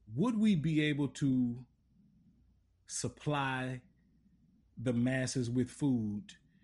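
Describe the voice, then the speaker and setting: Speaking in a Louisiana accent, a man at medium pitch moves at a very slow pace with long, frequent pauses, ordinary pitch variation and very even loudness against a quiet background. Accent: southern US, Louisiana. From Lafayette, Louisiana. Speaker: podcast host. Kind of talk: interview.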